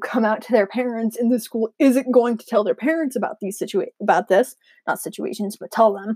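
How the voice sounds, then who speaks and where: Her pitch fairly high with ordinary variation, a woman speaks in a dark, mellow tone. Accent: American. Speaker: history teacher. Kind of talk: recorded reflection monologue. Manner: halting, with many fillers.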